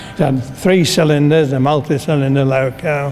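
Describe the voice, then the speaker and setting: Fairly slow, fairly high-pitched speech from a man, with ordinary pitch variation and noticeable background noise. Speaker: retired railway shedmaster. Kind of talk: interview answer.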